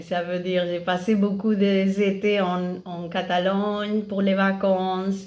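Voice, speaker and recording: A woman's very slow, medium-pitched speech with audible room echo. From Catalonia, Spain. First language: Catalan and Spanish (speaking French). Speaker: parent of multilingual children. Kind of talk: interview on a live stream. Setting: Instagram live video stream. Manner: halting, many hesitations.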